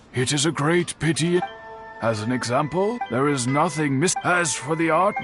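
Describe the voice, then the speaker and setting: Clear music plays in the background. Over it, a man does a cartoonish character voice at a fairly high pitch. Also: moderate pace. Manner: formal, courteous.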